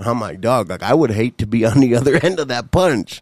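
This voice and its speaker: A man with an unremarkable speaking voice, a medium pitch and lively intonation talks at a fairly quick pace. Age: 40s. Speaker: podcast co-host. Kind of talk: casual chat.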